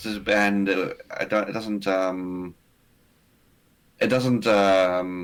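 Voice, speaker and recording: Very slow, monotone male speech with a South African accent, fairly low pitch, flat intonation and long, frequent pauses. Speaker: streamer. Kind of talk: casual chat. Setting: video call.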